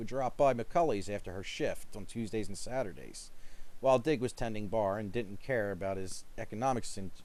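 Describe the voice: What we hear is plain reading aloud.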